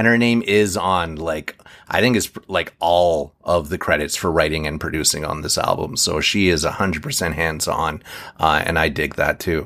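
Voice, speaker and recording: Very deep and low, this man's voice has a bright, sharp tone and ordinary pitch variation. He speaks at a moderate pace in a very clean recording with a silent background. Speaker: music podcast host. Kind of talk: casual chat.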